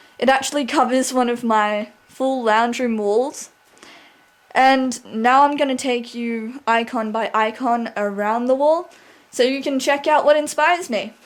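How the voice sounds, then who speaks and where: A woman with an Australian accent speaks at a high pitch. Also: ordinary pitch variation. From Australia (Sydney). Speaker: video blogger. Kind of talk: casual vlog. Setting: at home, lounge room. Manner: animated.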